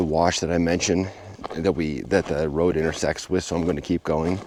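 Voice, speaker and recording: Here a man speaks with very deep, low pitch. His intonation stays fairly even. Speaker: hiking vlogger. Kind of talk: vlog narration. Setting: outdoors.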